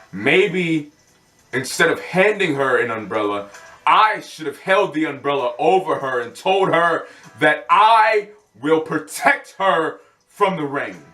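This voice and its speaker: Music plays behind a man speaking very slowly in a passionate tone. His fairly high voice makes very wide pitch swings. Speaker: spoken word poet. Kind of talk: spoken word poetry performance. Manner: passionate, heartfelt.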